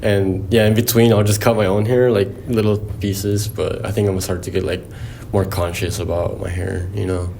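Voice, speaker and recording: A man with a Spanish accent and a fairly low pitch, at a fairly quick pace in a monotone, flat intonation, with audible room echo and noticeable background noise. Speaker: podcast host. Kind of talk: casual chat.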